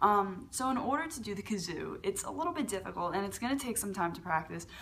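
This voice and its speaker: A woman talks at a fairly quick pace with vocal fry and lively intonation. Light background noise is present. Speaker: beatboxer and tutorial youtuber. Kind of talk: tutorial. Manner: casual, hesitant with many fillers. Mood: relaxed, friendly. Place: home room. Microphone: webcam.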